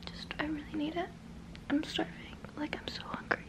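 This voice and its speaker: Whispering and soft-spoken, a woman speaks at a very slow pace. Loud background noise fills the recording. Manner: soft pleading whisper, fingers at lips. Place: home room.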